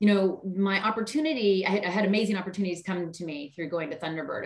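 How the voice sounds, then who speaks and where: Over noticeable background noise, a woman with an American accent talks at a very fast pace with ordinary pitch variation. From US South, Charleston, South Carolina. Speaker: marketing executive. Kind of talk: interview. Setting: video call.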